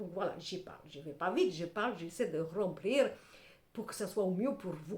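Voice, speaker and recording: A woman speaks at a moderate pace in an animated, somewhat breathy tone. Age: 60s. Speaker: tarot reader / clairvoyant. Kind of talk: tarot reading monologue to camera.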